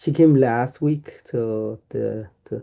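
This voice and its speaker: A man's medium-pitched voice, dark and mellow in tone, with ordinary pitch variation. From Guatemala, Mam region near Mexican border. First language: Mam. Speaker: doctoral researcher. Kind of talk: lecture. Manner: halting, many fillers and repeats.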